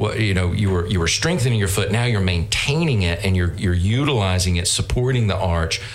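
A man with a Southern US accent talks at a fairly low pitch with ordinary pitch variation. Noticeable background noise and audible room echo are present. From North Carolina. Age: 50s. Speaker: business owner. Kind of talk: interview. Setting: studio.

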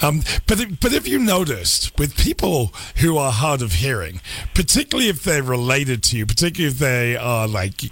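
Over noticeable background noise, a man talks at a fairly quick pace. His medium-pitched voice shows very wide pitch swings. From England. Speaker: radio host. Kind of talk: radio interview.

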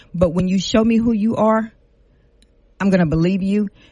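At a moderate pace, a woman speaks in a somewhat breathy voice with a dark, mellow tone. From Lafayette, Louisiana. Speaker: city council member. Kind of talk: radio interview. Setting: studio.

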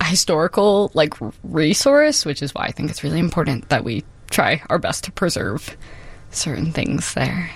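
A woman's very deep, low voice with vocal fry, lively intonation and a moderate pace. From Chicago, Humboldt Park. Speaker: multidisciplinary artist. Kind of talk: radio interview.

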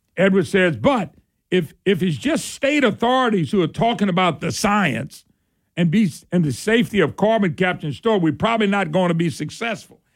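A man with a Southern Louisiana accent speaks at a fairly quick pace, with a high pitch and lively intonation. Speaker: talk radio host. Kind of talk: talk radio call-in show. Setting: studio. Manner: animated.

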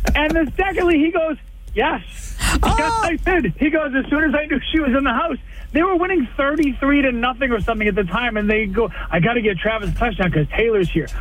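A man speaks at a fairly quick pace with an extremely high pitch and very wide pitch swings. His loudness stays very even over noticeable background noise. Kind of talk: phone-in chat, humorous rant about sports news. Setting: phone call. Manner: animated, sarcastic, comedic.

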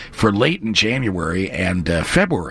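The background carries noticeable noise. A man's voice comes through over it. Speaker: meteorologist. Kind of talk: casual chat.

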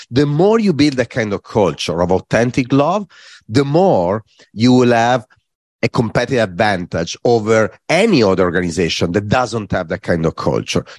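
A man with an Italian accent at a medium pitch, lively in intonation and moderate in pace, with a dry, close sound, no echo and a quiet background. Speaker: corporate design executive. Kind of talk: interview.

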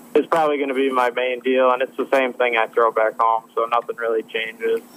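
Against noticeable background noise, a man with a medium pitch talks at a fairly quick pace in a monotone, flat intonation. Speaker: professional bass angler. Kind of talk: casual interview. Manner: calm.

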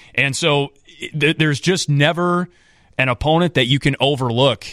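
A man talks at a moderate pace with ordinary pitch variation. He has an ordinary speaking voice. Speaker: TV hockey play-by-play announcer. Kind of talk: casual radio interview chat. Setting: radio studio. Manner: friendly, self-deprecating, conversational.

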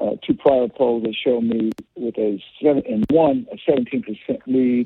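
This man speaks with a medium pitch and ordinary pitch variation. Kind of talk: rally speech: campaign stump pitch with crime-and-bail-reform talking points. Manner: earnest, emphatic and combative, firm campaign-trail delivery with frequent 'uh' fillers.

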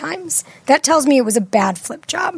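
A woman speaks with a high pitch. Noticeable background noise runs behind her. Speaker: real estate agent. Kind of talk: casual chat.

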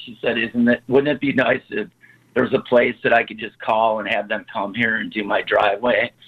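At a fairly quick pace, a man talks with an American accent. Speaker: snow removal business owner. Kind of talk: interview. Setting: phone call.

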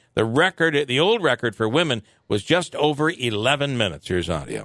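A man with a medium-pitched, bright, sharp tone uses very wide pitch swings and vocal fry at a moderate pace. The sound is dry and close with no echo, on a very clean recording with a silent background. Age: 50s. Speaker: morning radio host. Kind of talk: news reading; casual chat.

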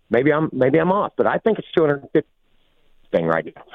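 This is a man talking. His pace is moderate. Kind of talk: heated call-in rant. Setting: phone call.

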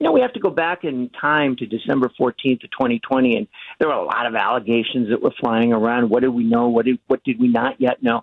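Using a normal speaking voice, a man talks at a medium pitch and a fairly quick pace with fairly even intonation and hardly any pauses. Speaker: legal think tank president and lawyer. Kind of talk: radio phone interview. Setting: phone call. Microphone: phone line.

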